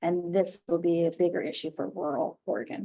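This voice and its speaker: Speaking at a moderate pace, a woman has an ordinary speaking voice with a fairly low pitch. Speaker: committee member. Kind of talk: committee meeting.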